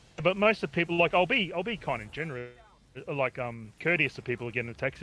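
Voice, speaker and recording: A man speaks with an Australian accent. His pace is fairly quick. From Australia, Victoria (Wangaratta). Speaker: community gamer, taxi driver. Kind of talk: casual interview chat.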